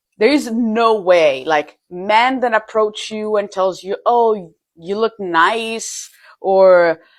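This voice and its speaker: With an Italian accent, a woman speaks very slowly at a fairly high pitch, her pitch varying in an ordinary way. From Italy, Milan. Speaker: European expat in the US. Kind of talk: casual vlog.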